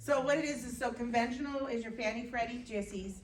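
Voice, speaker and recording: Room echo is audible around a woman's fairly high voice. Her pitch varies in an ordinary way. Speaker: mortgage industry representative. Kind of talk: meeting presentation. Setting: town hall meeting with audience. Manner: fast.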